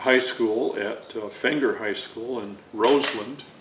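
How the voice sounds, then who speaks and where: A man with an American accent speaks at a very slow pace and medium pitch, with fairly even intonation but big swings in loudness, amid noticeable background noise and audible room echo. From Chicago area, Illinois. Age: 80s+. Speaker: navy veteran and artist. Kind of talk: oral history interview. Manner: halting, many fillers.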